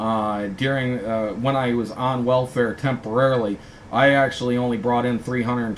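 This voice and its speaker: Here a man talks in an American accent. The background noise is noticeable. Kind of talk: rant, ad-libbed monologue. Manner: hesitant, many fillers.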